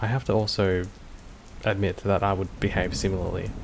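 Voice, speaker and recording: Against noticeable background noise, a man with an Australian accent speaks at a fairly low pitch. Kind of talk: casual commentary to camera.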